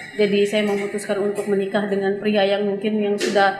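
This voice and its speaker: Music plays behind a woman speaking at a medium pitch. The room echo is audible. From Lampung, Indonesia. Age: 30s. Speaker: storyteller sharing life experience. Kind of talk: personal testimony interview. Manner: halting, with fillers.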